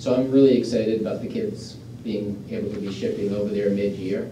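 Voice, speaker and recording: A man speaks at a moderate pace in a monotone, flat delivery, with light background noise and audible room echo. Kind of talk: report to a board. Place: meeting room.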